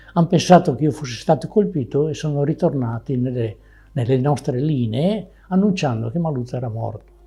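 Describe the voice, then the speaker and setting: Lively intonation runs through this man's speech. His pitch sits fairly high. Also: fairly quick pace. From Veneto, Italy. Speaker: war veteran. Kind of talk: testimony. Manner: halting.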